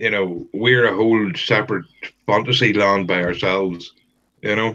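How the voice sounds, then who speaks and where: In a Northern Irish accent, a man speaks with a bright, sharp tone and fairly even intonation. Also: fairly low pitch for a man, moderate pace. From Northern Ireland. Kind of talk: casual chat.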